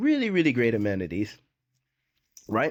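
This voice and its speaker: In a very clean recording with a silent background, a man talks with a slight Jamaican accent. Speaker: expat YouTuber. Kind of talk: casual vlog talk. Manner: conversational, repetitive with many fillers.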